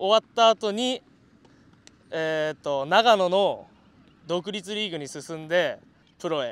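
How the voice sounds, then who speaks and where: Speaking at a very slow pace, a man uses a high pitch and lively intonation in a dry, close sound with no echo. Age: 20s. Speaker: former independent-league baseball player. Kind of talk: group interview.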